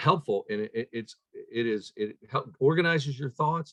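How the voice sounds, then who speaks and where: At a medium pitch and moderate pace, a man talks in an unremarkable speaking voice. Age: 60s. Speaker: chiropractor, leadership speaker. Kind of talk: interview.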